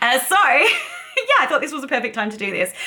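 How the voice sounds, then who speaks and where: A woman is speaking. She has an Australian accent and a moderate pace. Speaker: beauty YouTuber. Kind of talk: casual makeup tutorial vlog.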